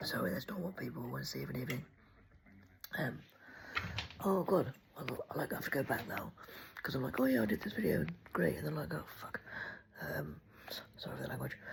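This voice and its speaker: The speaker has an English accent and talks at a very fast pace, broken by long, frequent pauses. Noticeable background noise runs through the clip. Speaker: vlogger. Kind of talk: casual chat. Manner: rambling, hesitant with many ums.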